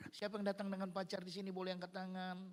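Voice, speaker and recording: The tone is animated. It also sounds bright and sharp. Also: man. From Nias, Indonesia. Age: 60s. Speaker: guest pastor and evangelist. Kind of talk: sermon. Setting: church service with congregation. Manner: animated, interactive with congregation.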